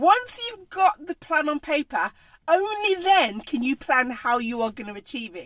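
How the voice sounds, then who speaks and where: In a Birmingham accent, a woman speaks at a moderate pace and high pitch in an animated tone, with very wide pitch swings, big swings in loudness, and a dry, close sound with no echo. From English Midlands, Birmingham. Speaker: cake maker and business coach. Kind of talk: live stream talk to viewers.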